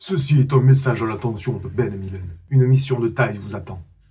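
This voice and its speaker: Using a robotic, put-on character voice, a man speaks at a fairly quick pace in a medium pitch. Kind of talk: mission voice-over.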